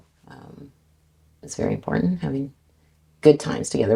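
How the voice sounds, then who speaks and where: In a Canadian accent, a woman speaks with a very deep, low pitch. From Canada, Vancouver BC. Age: 60s. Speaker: car salesperson. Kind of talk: casual interview.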